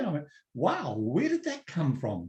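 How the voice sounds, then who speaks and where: Talking at a moderate pace, a man speaks with a New Zealand accent. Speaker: personal development coach. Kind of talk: webinar talk. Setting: online webinar. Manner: relaxed, conversational.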